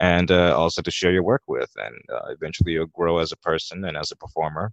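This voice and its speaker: In a quiet setting, a man talks at a very deep, low pitch, recorded with a dry, close sound and no echo. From United States. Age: 20s. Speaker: voiceover artist and puppeteer, podcast guest. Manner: calm, low-energy, sounds sleepy.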